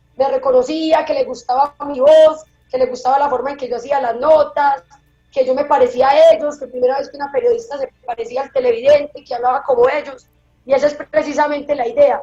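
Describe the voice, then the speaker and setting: With music playing in the background, a woman speaks at a fairly quick pace in a high pitch, her pitch varying in an ordinary way. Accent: paisa Colombian. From Colombia, Antioquia (paisa). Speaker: television reporter. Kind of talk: interview. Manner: casual, conversational.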